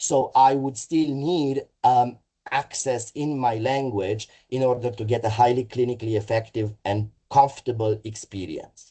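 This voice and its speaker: In a Romanian accent, a man speaks at a moderate pace with a medium pitch and a dark, mellow, somewhat breathy tone. His intonation stays fairly even. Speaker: mental health services executive. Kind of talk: webinar presentation. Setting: online webinar. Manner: halting, frequent fillers.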